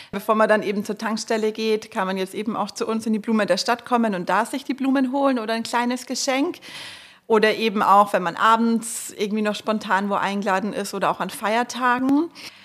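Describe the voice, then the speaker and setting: This woman speaks at a fairly quick pace with a fairly high pitch and ordinary pitch variation in a plain, everyday voice. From Marktredwitz, Upper Franconia. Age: 30s. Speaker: florist and nursery co-owner. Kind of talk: casual interview.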